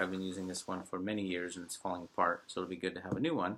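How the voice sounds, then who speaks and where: Very clean recording, silent background, of a man talking. His pitch is fairly low and his tone bright and sharp. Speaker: guitar teacher. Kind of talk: recorded tutorial lesson. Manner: fast; hesitant fillers.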